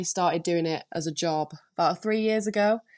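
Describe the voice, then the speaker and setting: Woman with a Lancashire accent, medium pitch, moderate pace and fairly even intonation. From northern England, Preston, Lancashire. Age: 20s. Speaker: DJ and producer. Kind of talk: podcast interview.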